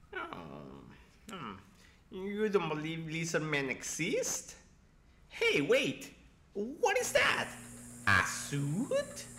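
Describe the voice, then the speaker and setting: A put-on character voice moves at a very slow pace. Long pauses come often. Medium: audio drama. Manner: hesitant, polite, curious.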